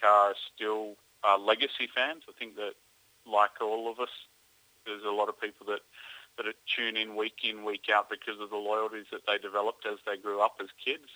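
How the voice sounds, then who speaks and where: Speaking fairly quickly, a man with an Australian accent uses a fairly low pitch. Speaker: motorsport journalist. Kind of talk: radio interview.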